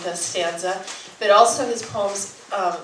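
A woman at a fairly slow pace with ordinary pitch variation, audible room echo and light background noise. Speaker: event host introducing a poet. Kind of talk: introduction speech to audience. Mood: warm, admiring. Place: shop.

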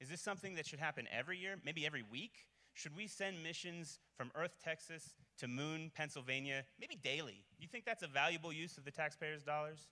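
A man speaks at a fairly quick pace with a bright, sharp tone. His pitch sits fairly high and moves in an ordinary way. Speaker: event emcee. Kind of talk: live event hosting. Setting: stage with audience. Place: hall. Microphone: handheld.

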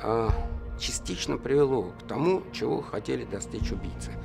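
A man talks at an even, middling speed. Clear music can be heard behind him. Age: 50s. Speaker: human rights activist. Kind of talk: interview answer. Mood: reflective, somber. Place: studio.

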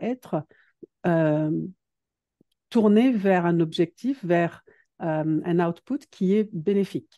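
A woman speaks at a medium pitch with a dark, mellow tone and ordinary pitch variation, recorded dry and close with no echo against a quiet background. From northern France, Dunkirk. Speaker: productivity coach. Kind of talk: interview. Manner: hesitant, many fillers.

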